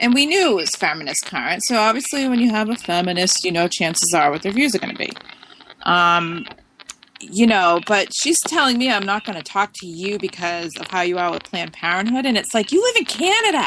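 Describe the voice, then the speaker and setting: Over noticeable background noise, a woman with an American accent talks at a fairly quick pace. Her voice is medium-pitched with lively intonation. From Massachusetts, US. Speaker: talk radio host. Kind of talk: casual talk radio chat.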